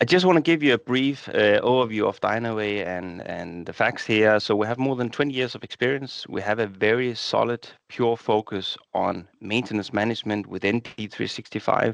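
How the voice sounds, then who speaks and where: A man with a Danish accent at a moderate pace, hardly any pauses, and a quiet background. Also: medium pitch for a man, ordinary pitch variation. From Denmark. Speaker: software partnerships director. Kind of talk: webinar presentation.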